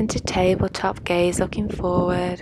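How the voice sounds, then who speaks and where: Light background noise accompanies a woman talking at a fairly slow pace. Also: dry sound with no echo. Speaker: yoga instructor. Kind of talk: yoga instruction.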